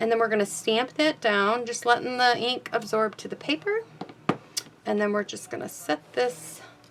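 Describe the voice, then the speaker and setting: At a moderate pace, a woman is talking. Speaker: card-making crafter and stamp demonstrator. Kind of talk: craft tutorial. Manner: casual, slightly halting.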